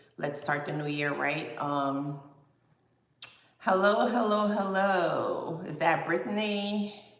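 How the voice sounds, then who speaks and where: A woman with a Guyanese accent speaks at a fairly slow pace. Her pitch varies in an ordinary way, and audible room echo surrounds her voice. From Guyana. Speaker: fitness vlogger. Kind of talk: casual livestream chat. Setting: livestream at computer.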